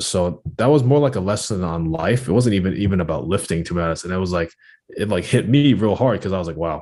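Speaking at a very fast pace, a man uses a very deep, low voice with lively intonation. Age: 20s. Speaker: powerlifter and podcaster. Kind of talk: casual chat.

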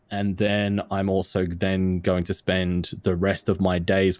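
A man's very deep, low voice in a flat monotone at a fairly slow pace, on a very clean recording with a silent background. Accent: Australian. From Australia. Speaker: content creator, streamer. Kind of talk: casual interview chat.

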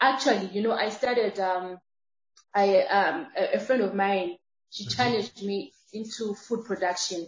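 Somewhat breathy, a woman speaks at medium pitch and a moderate pace. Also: ordinary pitch variation. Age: 30s. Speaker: transformational speaker and entrepreneur. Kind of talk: interview.

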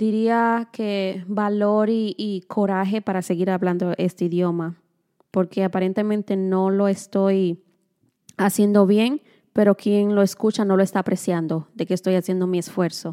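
Very slowly and with fairly even intonation, a woman speaks in a dark, mellow tone at medium pitch, recorded very cleanly against a silent background with a dry, close sound and no echo. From Dominican Republic. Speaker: podcast co-host. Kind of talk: casual chat.

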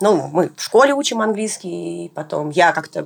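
A woman is speaking. Her voice has vocal fry. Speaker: vaccine researcher. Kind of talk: interview.

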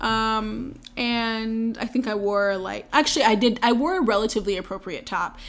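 A woman speaks at a moderate pace in an ordinary speaking voice. Her pitch is fairly high, with ordinary pitch variation. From North Carolina. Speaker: podcast host. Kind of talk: casual chat.

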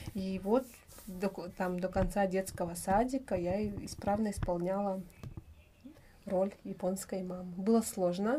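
A woman speaks at a fairly slow pace with long, frequent pauses and fairly even intonation. Her voice sits at medium pitch, somewhat breathy, with a dark, mellow tone. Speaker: mother and vitamin business owner living abroad. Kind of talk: casual interview chat.

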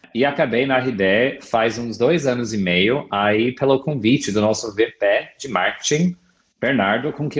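Ordinary pitch variation at a moderate pace. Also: man. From US, California. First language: English (speaking Portuguese). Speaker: product marketing director. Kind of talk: interview.

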